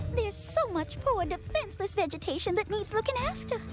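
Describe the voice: A female-sounding cartoonish character voice speaks fairly quickly at an extremely high pitch. Loud music plays in the background.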